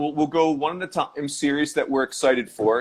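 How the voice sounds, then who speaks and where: In a US Northeastern accent, a man talks at a fairly quick pace with a fairly high pitch. The recording is very clean with a silent background. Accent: US Northeast. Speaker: podcast host. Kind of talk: casual chat. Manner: fast.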